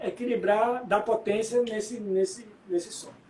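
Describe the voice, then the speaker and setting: Noticeable background noise sits behind a man speaking at a moderate pace. His pitch is extremely high, and his intonation is fairly even. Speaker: musician. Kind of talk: interview.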